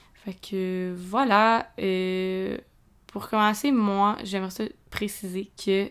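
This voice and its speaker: The speaker talks with a Quebec accent in a monotone, flat intonation. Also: woman. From Quebec, Montreal region. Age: 20s. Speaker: podcast host, student. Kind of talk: casual monologue. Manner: hesitant, filler-heavy.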